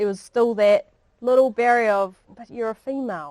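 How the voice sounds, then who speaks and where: A woman with a New Zealand accent speaks at a moderate pace and fairly high pitch, with a dry, close sound and no echo. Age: 40s. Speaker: police dog handler. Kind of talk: public talk. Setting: library talk with audience. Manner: casual, with many fillers.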